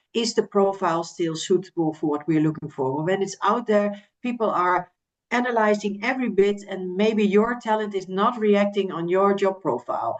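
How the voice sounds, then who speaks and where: This woman speaks with a Dutch accent at a medium pitch. Her pace is moderate and her pitch varies in an ordinary way. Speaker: recruitment agency representative. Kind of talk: podcast interview.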